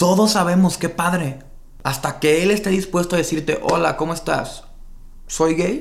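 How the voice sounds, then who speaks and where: A man speaks with a Mexican accent at a high pitch and a moderate pace. His loudness stays very even, and his pitch varies in an ordinary way. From Mexico, Baja California Sur (Los Cabos). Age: 20s. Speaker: marketing director. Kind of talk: casual interview chat.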